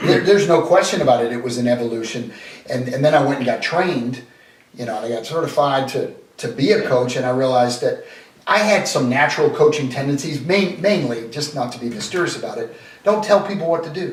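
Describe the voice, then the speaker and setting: With an American accent, a man talks very fast in a fairly high pitch and lively intonation. Noticeable background noise and audible room echo surround the recording. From Boston. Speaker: sales coach. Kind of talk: interview. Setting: at home dining table.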